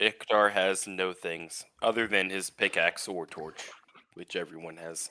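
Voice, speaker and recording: A man puts on a raspy character voice with very deep, low pitch, fairly even intonation, big swings in loudness, and a moderate pace. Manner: sad.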